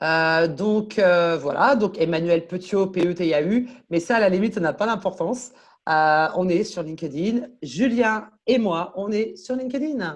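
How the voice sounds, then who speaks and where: A woman's animated, medium-pitched voice at a fairly slow pace. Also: lively intonation, quiet background. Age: 40s. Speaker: LinkedIn coach and consultant. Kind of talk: interview.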